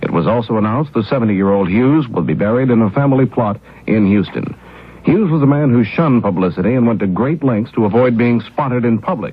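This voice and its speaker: A man with an American accent speaks at a very fast pace and medium pitch, with ordinary pitch variation. His loudness stays very even against noticeable background noise. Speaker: radio news anchor. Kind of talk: radio news bulletin read. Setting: 1970s radio broadcast recording.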